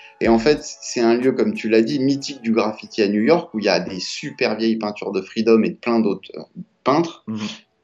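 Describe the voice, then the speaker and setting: A man with a medium-pitched voice talks at a fairly quick pace with ordinary pitch variation, music playing behind him. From Paris. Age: 40s. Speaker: film director and former graffiti artist. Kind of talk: casual interview.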